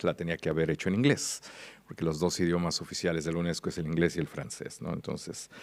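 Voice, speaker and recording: The voice heard here is a man's. It sits very deep and low in pitch. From Mexico. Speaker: international policy expert, conference speaker. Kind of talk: conference keynote. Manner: hesitant, many fillers.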